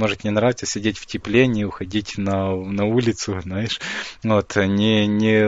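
The delivery is monotone and flat at a moderate pace. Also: man. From Ukraine. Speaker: online marketing developer. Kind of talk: interview.

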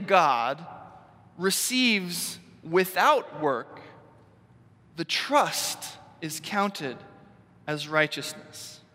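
Against noticeable background noise, a man with an American accent talks at a very slow pace, with long, frequent pauses. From US Northeast. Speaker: pastor. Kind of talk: sermon.

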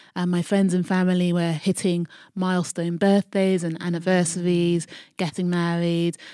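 With a London accent, a woman talks at a moderate pace in a fairly low pitch and monotone, flat intonation, on a very clean recording with a silent background. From South London, Croydon. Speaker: eco-friendly events entrepreneur. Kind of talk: interview.

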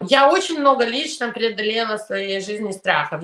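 At a moderate pace, a woman speaks with a fairly high pitch that swings very widely, noticeable background noise behind her. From Soviet Union, raised in New York. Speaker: immigration lawyer. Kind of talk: interview.

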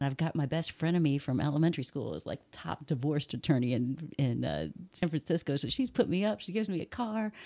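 On a very clean recording with a silent background, a woman with a Midwestern American accent talks very fast with hardly any pauses. Her very deep, low voice has vocal fry and lively intonation. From Indiana, US. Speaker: soccer writer. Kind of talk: casual chat.

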